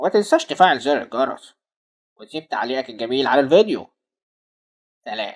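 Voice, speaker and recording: A cartoonish character voice in a low-to-middle pitch at a moderate pace, with long, frequent pauses. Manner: brisk, colloquial.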